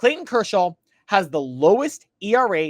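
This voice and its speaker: Recorded very cleanly against a silent background, a man speaks at a high pitch with very wide pitch swings. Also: dry, close sound with no echo. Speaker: sports commentator. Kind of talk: opinion monologue. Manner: stumbles over words at times.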